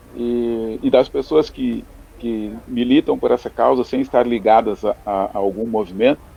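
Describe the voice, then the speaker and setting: The man's pitch sits at a medium level with ordinary variation. His tone is dark and mellow, and his pace is fairly slow. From Porto Alegre, southern Brazil. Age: 50s. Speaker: lawyer. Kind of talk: radio debate.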